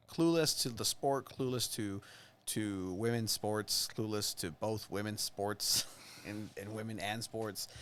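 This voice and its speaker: A man with a Mexican accent talks at a fairly low pitch with ordinary pitch variation, in a very clean recording with a silent background. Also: fairly slow pace. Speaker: soccer podcast host. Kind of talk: casual chat. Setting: studio.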